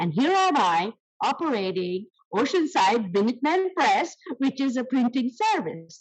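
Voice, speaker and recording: A woman speaks at a moderate pace in a high pitch, with very wide pitch swings. Her loudness stays very even. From India. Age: 70s. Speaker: small business owner. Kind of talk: interview. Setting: podcast.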